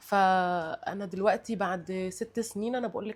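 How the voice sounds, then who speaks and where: A woman with a Cairo accent speaks at medium pitch, keeping her intonation fairly even. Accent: Egyptian Arabic (Cairo). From Egypt. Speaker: guest sharing life experience. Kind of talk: casual chat. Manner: halting, many repetitions and fillers.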